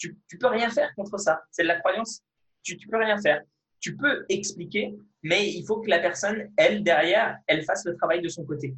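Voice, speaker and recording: Speaking at a moderate pace, a man with a high pitch and ordinary pitch variation shows big swings in loudness. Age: 20s. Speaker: fitness video creator and kendo athlete. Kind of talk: interview. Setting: video call.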